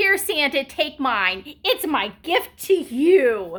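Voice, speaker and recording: Putting on a character voice, a woman speaks at a high pitch and a very slow pace with very wide pitch swings. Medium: read story.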